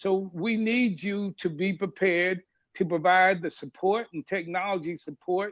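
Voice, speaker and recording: Sounding dry and close with no echo, a man talks at a moderate pace with a high pitch and ordinary pitch variation. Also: quiet background. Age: 70s. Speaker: business executive panelist. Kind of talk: panel webinar talk. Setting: video webinar. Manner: animated.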